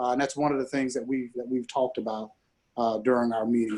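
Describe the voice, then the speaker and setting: In an American accent, a man speaks at medium pitch with monotone, flat intonation. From US South, Charleston, South Carolina. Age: 40s. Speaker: discussion moderator. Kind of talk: panel discussion. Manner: halting, many fillers.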